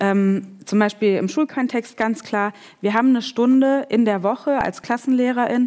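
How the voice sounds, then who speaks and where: This woman has an unremarkable speaking voice, ordinary pitch variation and a fairly slow pace. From Germany (came from Kazakhstan as a child in the mid-90s). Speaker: researcher and educator. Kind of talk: panel discussion. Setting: stage with audience.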